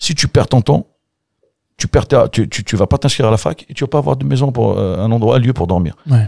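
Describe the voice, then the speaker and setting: A man speaks at a fairly quick pace with a medium pitch, very wide pitch swings and vocal fry. His tone is dark and mellow, and the sound is dry and close with no echo. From Algeria, Kabylie (Bouira). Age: 40s. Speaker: café-bar owner. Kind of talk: casual interview chat. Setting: basement studio under the bar.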